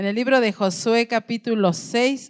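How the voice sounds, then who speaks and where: With an unremarkable speaking voice, a woman talks at a fairly slow pace, her fairly high pitch showing ordinary variation. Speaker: pastor. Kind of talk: sermon.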